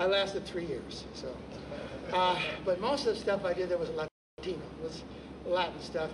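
A moderate pace of speech over noticeable background noise. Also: man. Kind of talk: storytelling stage patter. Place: stage.

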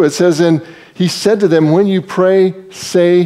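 The background stays quiet. Speaking is a man. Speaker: preacher. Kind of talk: sermon. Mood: warm, humorous, emphatic. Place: church.

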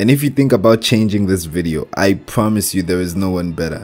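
A speaker with a strong African accent uses lively intonation. Music plays in the background. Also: man. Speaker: forex trading instructor. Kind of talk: tutorial. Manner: animated.

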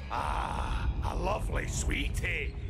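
A man does a put-on character voice with a Scottish accent over loud background noise. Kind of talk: character dialogue.

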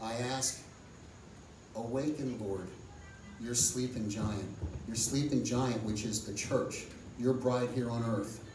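With long, frequent pauses, a man speaks at a very slow pace and fairly even intonation amid audible room echo and noticeable background noise. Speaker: pastor or lay preacher leading community prayer. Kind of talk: sermon-style message and fervent public prayer; fervent intercessory prayer, pleading for national revival. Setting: outdoor or church community prayer event with audience. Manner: impassioned, repetitive emphasis building in intensity; hesitant fillers between phrases. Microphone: camera far.

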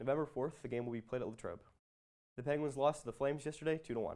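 Against a quiet background, a man talks at a very fast pace. His pitch variation is ordinary. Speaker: student sports reporter. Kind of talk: news announcement reading. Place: studio. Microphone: lapel.

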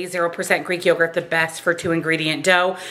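A woman speaks with light background noise. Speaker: home cooking vlogger. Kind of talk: tutorial. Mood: upbeat, friendly. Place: kitchen.

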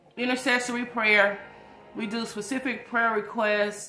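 With music in the background and audible room echo, a woman speaks at a fairly high pitch and a fairly slow pace, using ordinary pitch variation. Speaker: prayer minister. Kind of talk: livestream prayer session. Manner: casual.

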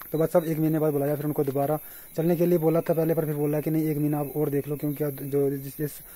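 A man's somewhat breathy voice, dark and mellow in tone, very fast and monotone, with flat intonation. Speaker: vlogger. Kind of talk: casual vlog chat. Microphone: phone near.

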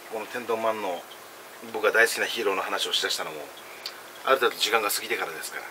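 A man speaks at a very fast pace, broken by long, frequent pauses. Noticeable background noise sits behind him. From Okinawa/Kagoshima region. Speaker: food and drink vlogger; drink vlogger. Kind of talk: casual solo vlog while eating and drinking. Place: home room. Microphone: phone near.

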